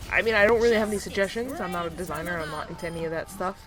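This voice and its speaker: A woman at a medium pitch with lively intonation. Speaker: gaming YouTuber. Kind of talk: casual video commentary. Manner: fast.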